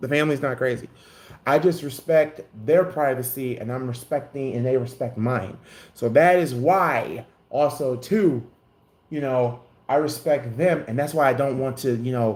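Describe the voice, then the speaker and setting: Speaking at a medium pitch and moderate pace, a man uses a plain, everyday voice with ordinary pitch variation. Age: 20s. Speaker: YouTube content creator. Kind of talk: casual live stream monologue.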